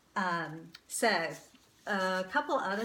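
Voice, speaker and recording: In an American accent, a woman speaks at a very slow pace with lively intonation and a bright, sharp tone, with audible room echo around her. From North Carolina, Winston-Salem. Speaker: vlogger, boutique owner. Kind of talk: casual talk to camera.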